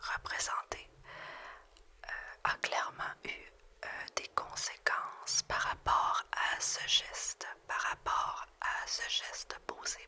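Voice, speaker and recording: A woman whispering at a very slow pace, with long, frequent pauses and noticeable background noise. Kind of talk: ASMR tarot reading. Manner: whispered, soft-spoken.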